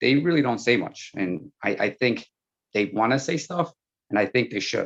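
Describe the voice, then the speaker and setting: The speaker has a Spanish accent, a moderate pace and ordinary pitch variation. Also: man, dry, close sound with no echo. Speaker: school board candidate. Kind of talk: panel Q&A answer.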